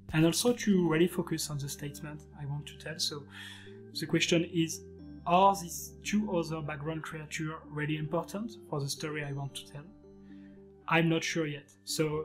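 The loudness swings widely while the pitch varies in an ordinary way. Music plays in the background. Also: man, moderate pace. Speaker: digital artist instructor. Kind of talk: tutorial.

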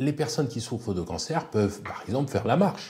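This man's voice has a dark, mellow tone, sounds somewhat breathy and carries lively intonation. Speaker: geriatrician. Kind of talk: expert explanation on TV.

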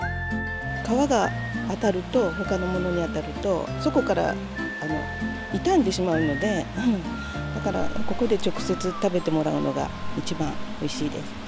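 Clear music plays in the background as the speaker talks at a fairly slow pace, the sound dry with no echo. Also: woman. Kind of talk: interview answer. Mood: calm, friendly. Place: garden.

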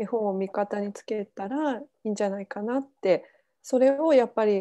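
A woman speaks in a dark, mellow tone. Her pitch varies in an ordinary way. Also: medium pitch for a woman, moderate pace.

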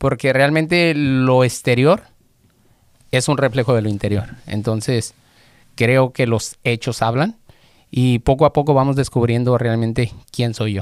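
A man at a fairly slow pace, ordinary pitch variation, dry sound with no echo and a quiet background. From Mexico, Guadalajara; Jalisco, Mexico. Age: 40s. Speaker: auto mechanic; podcast guest. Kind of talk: interview, personal testimony. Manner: halting, repeats words. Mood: reflective, personal. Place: studio. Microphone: studio mic.

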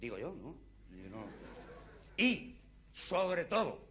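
A man's bright, sharp voice with very wide pitch swings. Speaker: comedian performer. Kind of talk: comic stage monologue. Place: stage. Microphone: lapel.

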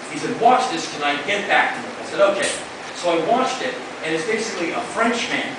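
With noticeable background noise and strong room echo, a man talks at a fairly quick pace. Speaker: spoken word performer. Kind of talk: live spoken word performance to an audience. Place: stage.

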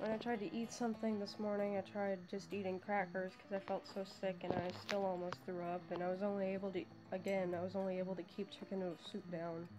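Quiet and mumbling, a woman rushes along at a very fast pace with hardly any pauses, her medium-pitched voice monotone and flat over noticeable background noise. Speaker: vlogger. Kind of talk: casual talk to camera. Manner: mumbling, quiet.

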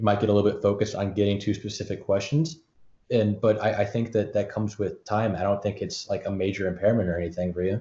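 A man with an American accent talks at a very fast pace in a fairly low, somewhat breathy voice. His intonation stays fairly even. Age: young. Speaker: student podcaster and entrepreneur. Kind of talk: interview.

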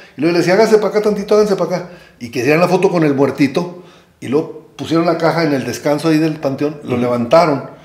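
Against noticeable background noise, a man with a fairly high pitch talks very fast with ordinary pitch variation. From rural Mexico. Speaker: photographer. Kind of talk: casual chat. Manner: halting.

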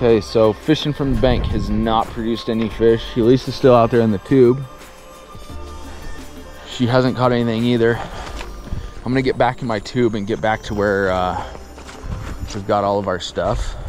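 Over clear background music, a man speaks at a moderate pace with fairly even intonation and long, frequent pauses. The sound is dry with no echo. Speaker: fly fisherman vlogger. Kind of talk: casual vlog chat. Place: waterside. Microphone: phone near.

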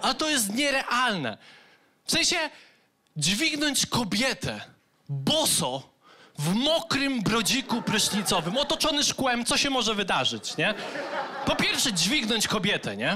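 Over light background noise, a man with a Polish accent speaks fairly slowly in an extremely high, raised and projected voice, his pitch swinging very widely. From Poland. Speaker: stand-up comedian. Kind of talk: stand-up comedy routine. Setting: stage with audience. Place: stage. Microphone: handheld.

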